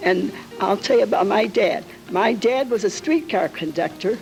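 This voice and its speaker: Against music in the background, a woman's fairly high voice moves at a moderate pace with very wide pitch swings. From Calumet City, Illinois, US Midwest. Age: 80s+. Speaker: local elder sharing memories. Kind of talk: oral history testimony.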